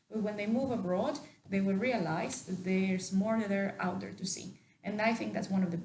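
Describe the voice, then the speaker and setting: Talking very fast with a Mexican accent, a woman uses a medium pitch and ordinary pitch variation, with audible room echo around her. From Mexico. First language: Spanish. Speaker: university staff member. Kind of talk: interview.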